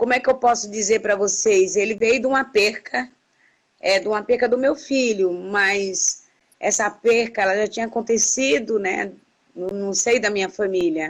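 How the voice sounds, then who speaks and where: A woman talks at a fairly high pitch with ordinary pitch variation. Her pace is moderate. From Brazil. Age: 60s. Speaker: activist. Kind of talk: interview. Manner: halting.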